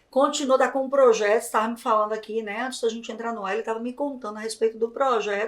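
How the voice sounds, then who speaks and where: A woman at a fairly high pitch with a northeastern Brazilian accent, very fast and with hardly any pauses. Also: big swings in loudness. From Brazilian Northeast. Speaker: podcast host and journalist. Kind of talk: interview podcast. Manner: animated.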